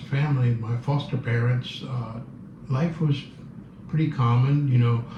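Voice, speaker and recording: Amid noticeable background noise and audible room echo, a man at a medium pitch talks at a fairly slow pace with ordinary pitch variation. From Cuba, Havana. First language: Spanish. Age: 70s. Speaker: Cuban exile interviewee. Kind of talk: interview, personal recollection. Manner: hesitant, many fillers and repeats.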